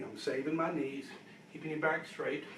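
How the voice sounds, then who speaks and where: Amid noticeable background noise and audible room echo, a man speaks in a fairly high pitch with monotone, flat intonation. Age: 60s. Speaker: fitness instructor. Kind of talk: tutorial. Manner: counting reps aloud.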